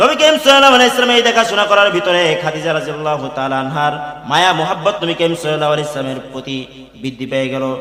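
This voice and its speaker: Through noticeable background noise, a man speaks at a fairly high pitch. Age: young. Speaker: Islamic preacher. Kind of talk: Islamic sermon (waz) delivered to an audience.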